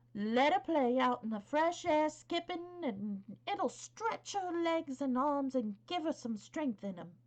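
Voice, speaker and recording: A woman uses a put-on character voice at a high pitch with very wide pitch swings. She goes at a fairly slow pace with hardly any pauses. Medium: read story. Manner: blunt, hearty, homely.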